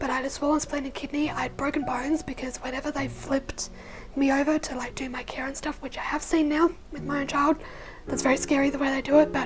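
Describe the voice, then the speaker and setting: Over noticeable background noise, a woman talks with an Australian accent at a fairly quick pace. Her pitch is high and her intonation fairly even. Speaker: vlogger. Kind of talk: personal story. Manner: halting.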